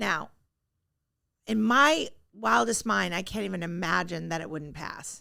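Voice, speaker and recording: Recorded very cleanly against a silent background, a woman speaks with big swings in loudness and long, frequent pauses. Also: fairly slow pace. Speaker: real estate agent. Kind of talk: market update chat. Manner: casual, filler-heavy; stumbling at times.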